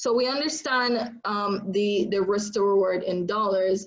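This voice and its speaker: Her voice sits at medium pitch for a woman, with fairly even intonation. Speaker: trading instructor. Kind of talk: live online training session. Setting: livestream from home. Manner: loud.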